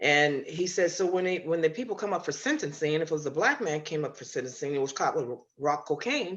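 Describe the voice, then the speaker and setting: A woman with an American accent speaks at a fairly quick pace. Her pitch is very deep and low, with ordinary pitch variation. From US Pacific Northwest, Seattle. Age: 70s. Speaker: grandmother and retired quilter. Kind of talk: long-form interview. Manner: halting, with many fillers.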